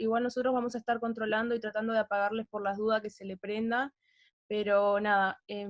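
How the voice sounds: A woman talks at a fairly quick pace with little pitch movement, recorded in a dry, close sound with no echo. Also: medium pitch for a woman.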